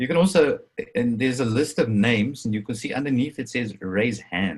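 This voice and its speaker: A man speaks at a fairly quick pace with an Afrikaans accent. His pitch varies in an ordinary way. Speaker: crypto presenter. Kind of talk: webinar presentation. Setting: video call.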